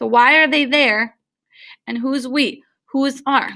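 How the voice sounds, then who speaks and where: A woman with a Midwestern US accent speaks in a bright, sharp tone. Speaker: teacher. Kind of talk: tutorial.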